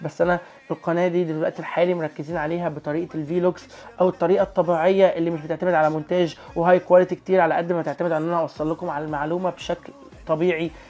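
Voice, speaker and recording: This man's high-pitched voice races along at a very fast pace. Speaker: YouTuber. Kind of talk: casual vlog review. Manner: animated.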